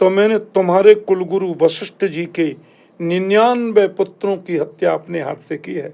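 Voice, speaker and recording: A man with a high yet dark, mellow voice keeps a fairly even intonation while his loudness swings widely. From India. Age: 60s. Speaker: spiritual leader. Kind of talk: religious storytelling in interview. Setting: podcast studio.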